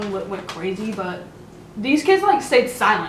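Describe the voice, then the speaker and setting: An animated woman speaks with an American accent at a fairly high pitch. Audible room echo and noticeable background noise come through. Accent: sounds country sometimes. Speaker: vlogger. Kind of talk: casual chat.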